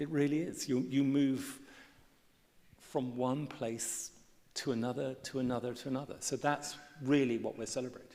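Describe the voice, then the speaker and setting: With audible room echo, a man speaks at a moderate pace and medium pitch in a monotone, flat intonation. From England. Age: 60s. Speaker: artist and writer. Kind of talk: on-stage conversation. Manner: halting, many repetitions and fillers.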